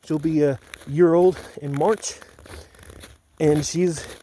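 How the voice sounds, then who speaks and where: A man speaks in a fairly high pitch. Noticeable background noise runs under him. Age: 30s. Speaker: reality show applicant. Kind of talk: casual self-introduction video. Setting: outdoors. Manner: casual.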